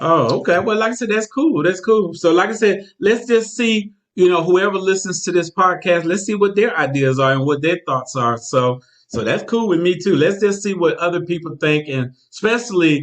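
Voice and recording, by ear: A man with a high pitch talks at a moderate pace. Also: ordinary pitch variation.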